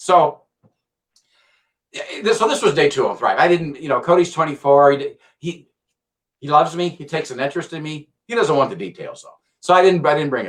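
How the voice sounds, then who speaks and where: A man with an American accent talks at a fairly quick pace, with long, frequent pauses. His loudness swings widely, while his pitch varies an ordinary amount. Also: fairly high pitch for a man. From US South, Mississippi. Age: 60s. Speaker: health supplement user sharing testimony. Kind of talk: testimony.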